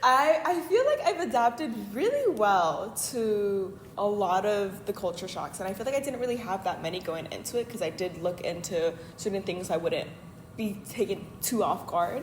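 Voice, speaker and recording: Lively intonation marks this speaker with a Californian accent, talking at a moderate pace. Noticeable background noise can be heard. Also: woman, medium pitch for a woman. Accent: Californian American English. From Los Angeles, US. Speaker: exchange student. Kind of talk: casual interview. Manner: casual, hesitant with fillers.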